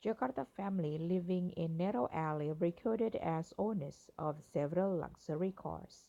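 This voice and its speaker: A woman speaks at a moderate pace with hardly any pauses, her pitch fairly low and ordinarily varied. Her tone is dark and mellow. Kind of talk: news article reading.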